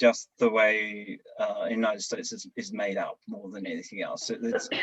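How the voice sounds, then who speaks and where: A man talks with an Australian accent. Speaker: service club leader. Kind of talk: panel discussion. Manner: hesitant, many fillers.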